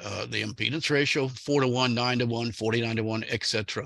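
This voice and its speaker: A man speaks with an American accent and a bright, sharp tone. His pitch variation is ordinary. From US South. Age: 70s. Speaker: amateur radio antenna expert, retired IT marketing manager. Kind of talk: technical presentation. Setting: video call. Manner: casual, folksy humor.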